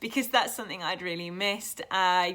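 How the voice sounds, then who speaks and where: A bright, sharp tone comes with a British accent at a moderate pace. The recording is very clean, with a silent background. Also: woman. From England. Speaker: YouTuber, tattoo artist. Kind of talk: casual vlog talk to camera.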